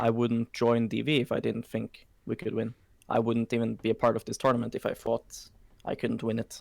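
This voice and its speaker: At a fairly quick pace, a man talks in a monotone, flat intonation at medium pitch, with a dry, close sound and no echo. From Norway. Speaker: esports coach. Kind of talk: interview answer. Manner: confident.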